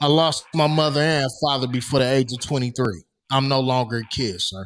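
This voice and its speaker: A man at a medium pitch moves at a fairly quick pace, his pitch varying in an ordinary way. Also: very clean recording, silent background. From US West Coast, Los Angeles. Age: 40s. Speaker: podcast co-host. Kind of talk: casual podcast discussion. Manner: emphatic.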